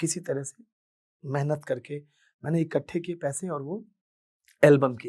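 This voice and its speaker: A man's somewhat breathy, dark, mellow voice at a fairly high pitch, with big swings in loudness and long, frequent pauses, in a very clean recording with a silent background. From Bihar, Madhubani district (Mithila). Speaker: singer. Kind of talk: motivational talk, personal story.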